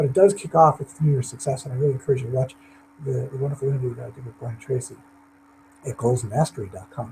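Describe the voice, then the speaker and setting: A man's fairly high, somewhat breathy voice with a dark, mellow tone, very fast pace and ordinary pitch variation. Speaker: motivational speaker. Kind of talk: webinar presentation. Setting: online webinar.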